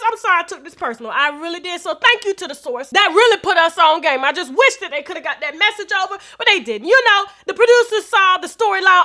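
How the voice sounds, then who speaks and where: Bright, sharp and animated, a woman's extremely high-pitched voice comes raised and projected at a very fast pace. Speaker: celebrity gossip commentator. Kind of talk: gossip commentary monologue. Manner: loud.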